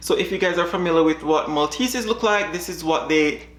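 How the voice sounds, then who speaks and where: Over noticeable background noise, a woman talks at a fairly quick pace with a Jamaican accent. Her pitch is fairly low, with ordinary variation. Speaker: dog breeder. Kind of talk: reaction video chat.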